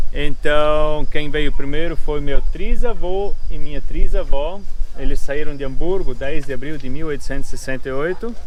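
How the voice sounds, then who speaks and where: Through noticeable background noise, a man with a fairly high pitch talks at a moderate pace with ordinary pitch variation. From southern Brazil, Pomerode (Santa Catarina). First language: German (Pomeranian) (speaking Portuguese). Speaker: family farm host for tourists. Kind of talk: casual explanation to visitors.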